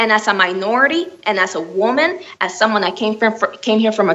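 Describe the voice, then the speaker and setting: Lively intonation from a woman with fairly high pitch, over noticeable background noise. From Miami, Florida. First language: Spanish. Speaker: children's book author. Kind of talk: interview. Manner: halting, many fillers.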